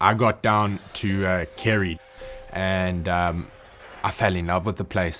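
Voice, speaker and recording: Music plays in the background as a man speaks at a fairly slow pace. His very deep, low voice stays monotone and flat. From South Africa. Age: 20s. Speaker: diving instructor. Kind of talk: documentary interview. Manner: halting, repeats words.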